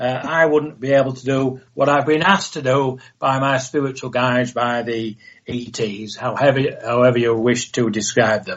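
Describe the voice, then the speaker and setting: At a moderate pace, a man with an English accent speaks at medium pitch with fairly even intonation. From northern England. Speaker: author and retired police officer, UFO contactee. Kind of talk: radio interview.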